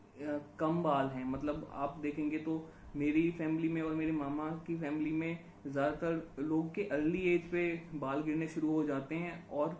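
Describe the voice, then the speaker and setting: With hardly any pauses, a man with a fairly high pitch speaks in a flat monotone over noticeable background noise and audible room echo. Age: 30s. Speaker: YouTuber sharing hair loss experience. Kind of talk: casual conversation. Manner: hesitant, many fillers.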